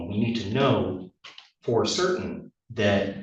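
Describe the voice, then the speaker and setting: The man's voice sits fairly low. The room adds an audible echo. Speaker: public commenter, electrician and homeless advocate. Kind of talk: public testimony at a court hearing. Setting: courtroom. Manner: halting, with many fillers.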